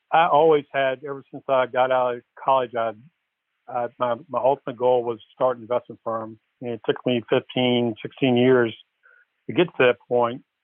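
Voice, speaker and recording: Monotone, flat intonation in a man's voice of medium pitch. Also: moderate pace. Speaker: investment firm founder. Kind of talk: interview. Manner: halting, with fillers.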